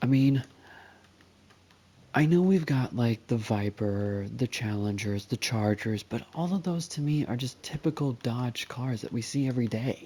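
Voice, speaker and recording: A man speaks quietly at a medium pitch and a fairly slow pace. His tone is dark and mellow, on a very clean recording with a silent background. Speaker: gaming youtuber. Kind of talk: casual gameplay commentary. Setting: at home, playing video game. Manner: quiet, hushed; hesitant, many fillers.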